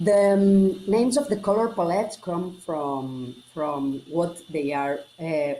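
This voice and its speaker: A woman with a fairly low pitch, very slow pace, hardly any pauses, and lively intonation, over noticeable background noise. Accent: Catalan Spanish. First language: Catalan. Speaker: generative artist. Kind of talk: interview. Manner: halting.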